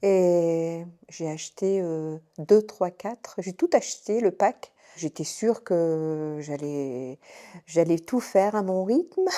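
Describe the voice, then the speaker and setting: A woman at a fairly low pitch with ordinary pitch variation, speaking at a very slow pace. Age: 60s. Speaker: retired nurse, cello student giving testimonial. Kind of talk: testimony. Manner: hesitant, many fillers and restarts.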